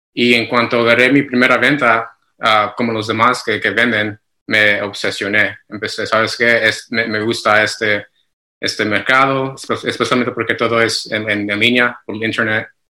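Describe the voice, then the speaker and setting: Monotone and flat, a man's bright, sharp voice moves at a moderate pace. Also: medium pitch for a man. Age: 30s. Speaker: Amazon seller consultant. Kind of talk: interview. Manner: halting.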